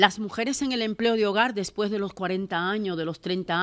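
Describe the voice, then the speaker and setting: At a moderate pace, a woman speaks with ordinary pitch variation on a very clean recording with a silent background. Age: 60s. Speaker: domestic worker and labor activist. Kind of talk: panel talk. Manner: animated.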